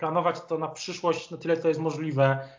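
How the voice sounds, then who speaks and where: This man talks with a high pitch. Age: 30s. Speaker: political journalist. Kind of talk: interview. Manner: halting, many repetitions.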